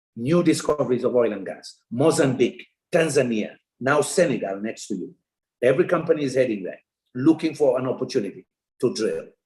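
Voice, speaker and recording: His voice is somewhat breathy and medium-pitched, moving at a fairly quick pace. The man's intonation is lively, and his loudness swings widely. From Sierra Leone. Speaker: development economist. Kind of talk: keynote lecture.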